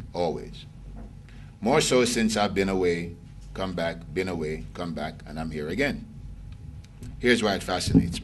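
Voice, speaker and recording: Amid audible room echo, a man with a very deep, low pitch speaks with lively intonation, big swings in loudness, and long, frequent pauses. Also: moderate pace. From Jamaica. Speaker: lecturer. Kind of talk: lecture. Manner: animated.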